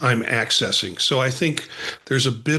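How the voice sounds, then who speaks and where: Over noticeable background noise, a man talks at a moderate pace with medium pitch and ordinary pitch variation. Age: 60s. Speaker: counselor educator and podcaster, former radio worker. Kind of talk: casual conversation.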